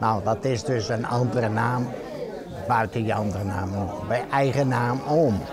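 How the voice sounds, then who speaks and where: Crowd noise and audible room echo surround a man speaking at a fairly slow pace in a medium pitch with ordinary pitch variation. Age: 80s+. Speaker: DJ. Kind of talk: interview; radio presenting.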